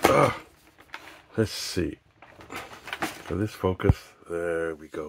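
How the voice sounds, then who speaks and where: Very slowly, a man talks in a very deep, low voice with fairly even intonation and long, frequent pauses. Loud background noise sits behind him. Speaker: YouTuber doing product reviews. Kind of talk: casual unboxing vlog. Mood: light-hearted, jokey. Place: home room. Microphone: phone near.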